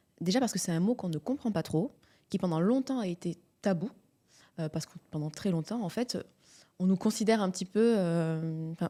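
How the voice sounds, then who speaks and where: On a very clean recording with a silent background, a woman with a medium-pitched, dark, mellow voice talks at a fairly quick pace with ordinary pitch variation and long, frequent pauses. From southern France, Montpellier. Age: 30s. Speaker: midwife. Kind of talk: podcast interview.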